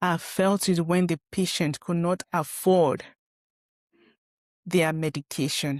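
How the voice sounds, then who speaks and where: Heard on a very clean recording with a silent background and a dry, close sound with no echo, a woman with a northern Nigerian accent speaks at a very slow pace with long, frequent pauses and fairly even intonation. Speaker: podcast host and former pharmacist. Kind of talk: personal monologue. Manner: halting, many fillers.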